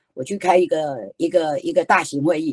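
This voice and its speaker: A woman with a Taiwanese accent makes very wide pitch swings, heard in a dry, close sound with no echo. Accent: Taiwanese Mandarin, some Taiwanese Hokkien. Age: 60s. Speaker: author and children's storyteller, education association founder. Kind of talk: online book talk. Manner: animated.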